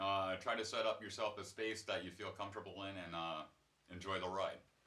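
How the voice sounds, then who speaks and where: A man talks at a fairly quick pace, with a fairly low pitch. His intonation is monotone and flat, and his tone bright and sharp. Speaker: guitar teacher. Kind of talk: tutorial. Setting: home studio. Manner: fast.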